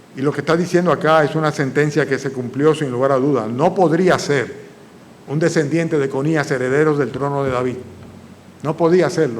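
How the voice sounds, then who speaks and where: A man's fairly high voice with fairly even intonation and audible room echo. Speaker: pastor. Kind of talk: sermon. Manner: fast.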